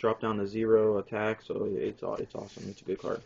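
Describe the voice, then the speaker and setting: A man speaking at a moderate pace. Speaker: card game deck reviewer. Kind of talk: casual deck showcase. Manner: casual, filler-heavy.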